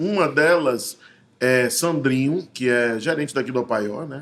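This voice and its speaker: The man has an unremarkable speaking voice, pitched in the medium range, with ordinary pitch variation. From Bahia, Brazil (grew up in Salvador). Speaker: actor and visual artist. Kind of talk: casual interview chat.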